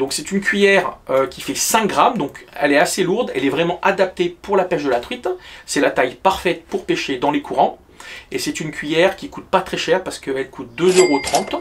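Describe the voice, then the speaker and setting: Lively intonation marks this man's high-pitched voice as he talks at a fairly quick pace. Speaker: fishing youtuber. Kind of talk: outdoor fishing tutorial. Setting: outdoors by a river. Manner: soft-spoken.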